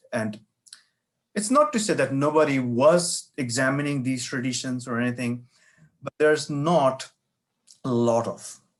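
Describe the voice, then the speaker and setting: A man speaks at a medium pitch with a Bengali accent. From India (Bengal). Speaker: professor and author. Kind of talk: interview.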